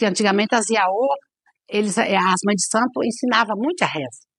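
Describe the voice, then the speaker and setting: Intonation is lively and the pace moderate. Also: woman. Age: 60s. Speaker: Candomblé/Umbanda priestess (mãe de santo). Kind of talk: documentary interview. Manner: halting, with frequent repetitions.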